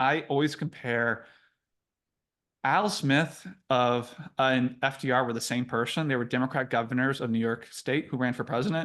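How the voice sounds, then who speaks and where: With an American accent, a man speaks at medium pitch and ordinary pitch variation. The background is quiet. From Iowa, US Midwest. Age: 30s. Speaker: author. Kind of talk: interview. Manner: fast; animated.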